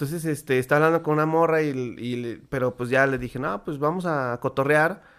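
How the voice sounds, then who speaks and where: A plain, everyday voice from a man, fairly high-pitched, moderate in pace, with ordinary pitch variation. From Mexico. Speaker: podcast co-host. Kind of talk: casual chat.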